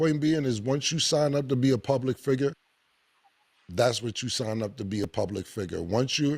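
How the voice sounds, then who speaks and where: A normal speaking voice from a man, medium in pitch with ordinary variation, at a fairly quick pace. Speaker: talk show host. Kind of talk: casual chat.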